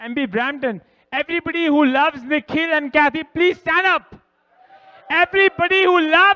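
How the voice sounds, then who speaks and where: A man's raised, projected voice at an extremely high pitch, animated in tone, with a dry, close sound and no echo. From India. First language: Hindi or Punjabi. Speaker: wedding guest, groom's friend. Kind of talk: wedding speech. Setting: reception hall with audience, microphone at podium.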